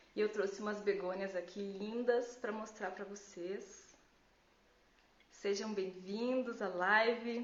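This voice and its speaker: In a room with audible echo, a woman speaks at a very slow pace with monotone, flat intonation. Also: medium pitch for a woman. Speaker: gardening educator. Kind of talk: live Q&A tutorial. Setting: Instagram live stream. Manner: casual, conversational with fillers.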